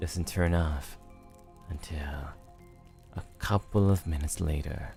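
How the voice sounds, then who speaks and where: Music plays in the background behind a voice with fairly even intonation. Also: man. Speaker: virtual streamer / voice actor. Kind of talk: scary story reading, ASMR style.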